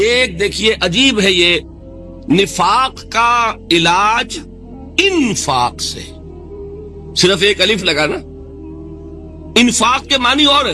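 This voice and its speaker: With music in the background, a man speaks in a raised, projected voice. His pitch is high and his intonation lively. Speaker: Islamic scholar giving a lecture. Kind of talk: Islamic religious lecture (bayan). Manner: earnest, preaching, fluent.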